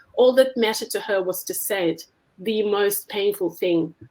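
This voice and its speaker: A woman speaks with a Russian accent at a moderate pace, with ordinary pitch variation. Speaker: essayist. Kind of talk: reading aloud.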